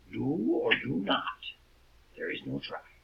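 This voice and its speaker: Using a put-on character voice, a man speaks at a fairly slow pace. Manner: silly.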